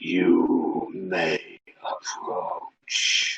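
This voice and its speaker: Putting on a character voice, a man speaks with a slight echo. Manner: ominous.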